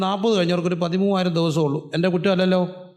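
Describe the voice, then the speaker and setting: A man with a high voice and an animated tone. His pitch varies in an ordinary way, and the room echo is audible. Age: 40s. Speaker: pastor. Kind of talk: sermon.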